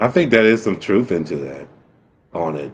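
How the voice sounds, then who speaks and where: This is a man speaking with an American accent. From US South, Richmond, Virginia. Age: 40s. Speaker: interview guest. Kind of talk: interview.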